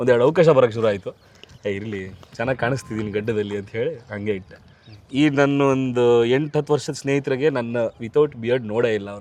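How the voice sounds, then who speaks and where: This is a plain, everyday voice of a man at medium pitch. His pitch varies in an ordinary way. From Bengaluru, Karnataka. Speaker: film actor and dubbing artist. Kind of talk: casual interview.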